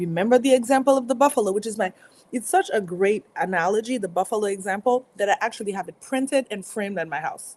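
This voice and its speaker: In a dry, close sound with no echo, a woman with a French accent speaks very fast in a fairly high pitch with ordinary pitch variation. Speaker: motivational speaker. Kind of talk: live stream talk. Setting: live stream.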